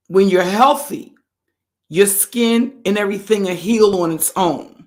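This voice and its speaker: Moderate pace, medium pitch and ordinary pitch variation from a woman. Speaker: livestream host, narcissistic abuse commentator. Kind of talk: casual livestream chat. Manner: conversational, greets chat mid-sentence.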